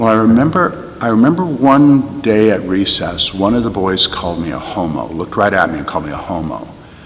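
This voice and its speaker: A man with a fairly low pitch speaks at a fairly quick pace with very wide pitch swings, amid audible room echo and noticeable background noise. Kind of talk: interview testimony.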